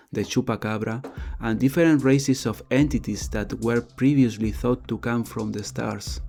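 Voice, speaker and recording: Over music in the background, a man with a non-native accent speaks at medium pitch and a fairly slow pace. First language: not English. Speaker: paranormal video creator. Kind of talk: scripted narration. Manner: occasional stumbles and repeats.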